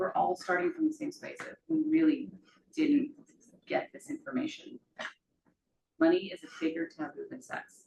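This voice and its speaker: Quiet and mumbling, a woman speaks in a dark, mellow tone at a high pitch, with very wide pitch swings, big swings in loudness, and long, frequent pauses. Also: moderate pace. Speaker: financial therapist. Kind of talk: talk to a live group with Q&A. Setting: room with live audience. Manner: quiet, mumbling.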